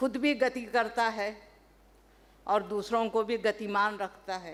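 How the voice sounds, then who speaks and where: With a Telangana accent, a woman speaks at a fairly high pitch. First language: Telugu (speaking Hindi). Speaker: professor. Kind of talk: seminar talk. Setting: stage at academic seminar. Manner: formal; hesitant fillers.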